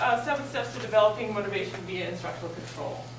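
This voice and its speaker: There is audible room echo and noticeable background noise as a woman talks. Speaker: behavior analyst and workshop presenter. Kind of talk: workshop lecture. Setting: stage with live audience. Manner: fast; animated.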